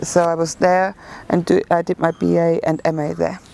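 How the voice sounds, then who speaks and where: There is noticeable background noise as a woman speaks with a German accent. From Germany. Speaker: photographer. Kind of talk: interview. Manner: hesitant, many fillers.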